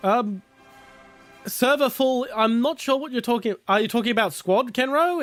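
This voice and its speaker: With an Australian accent, a man speaks at a moderate pace in a very clean recording with a silent background. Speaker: gaming streamer. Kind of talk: casual live stream chat. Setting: live stream, playing on PC. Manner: hesitant with many fillers.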